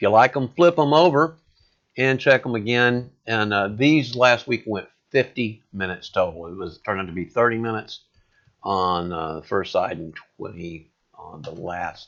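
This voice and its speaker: A man uses a normal speaking voice, fairly low in pitch, with lively intonation. He keeps a moderate pace, and his loudness swings widely. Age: 60s. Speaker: home cook sharing recipes. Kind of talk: cooking tutorial. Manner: casual, with filler words.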